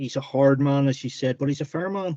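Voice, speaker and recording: A man's dark, mellow, medium-pitched voice with a Northern Irish accent, moderate in pace, dry and close with no echo. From Northern Ireland, County Tyrone. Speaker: novelist. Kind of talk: interview.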